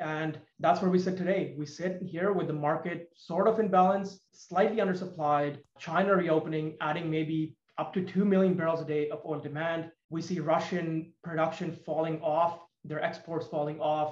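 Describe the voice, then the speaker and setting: This man has a high voice and talks at a moderate pace. His intonation stays monotone and flat. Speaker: petroleum engineer and investment firm CEO. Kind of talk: interview. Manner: hesitant fillers.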